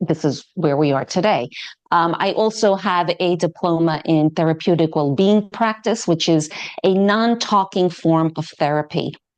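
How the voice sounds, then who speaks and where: A woman with a New York accent speaks at a fairly low pitch with ordinary pitch variation against a quiet background. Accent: American (New York). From New York City. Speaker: yoga teacher. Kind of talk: podcast interview.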